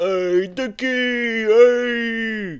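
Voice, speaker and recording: The speaker puts on a character voice with a fairly high pitch. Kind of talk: rally or stage event. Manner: loud, enthusiastic shouting.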